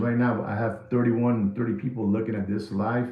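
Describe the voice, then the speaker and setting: A man with a New York accent speaks at a fairly quick pace in an animated tone. Audible room echo and noticeable background noise surround him. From New York City (the Bronx), Puerto Rican family. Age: 60s. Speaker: watch market commentator. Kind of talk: live stream monologue. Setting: live stream.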